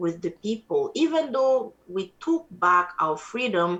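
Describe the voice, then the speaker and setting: Here a woman speaks in an Ivorian accent. Her pace is very slow. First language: Atie. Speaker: musician. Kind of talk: interview.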